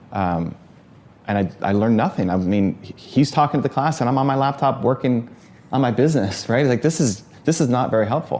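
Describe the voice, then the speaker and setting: A man with an unremarkable speaking voice, medium in pitch, lively in intonation, at a fairly quick pace. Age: 40s. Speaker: interviewer and entrepreneur. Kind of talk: interview.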